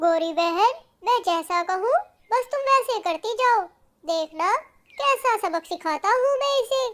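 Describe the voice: A cartoonish character voice comes at an extremely high pitch. The pace is fairly slow.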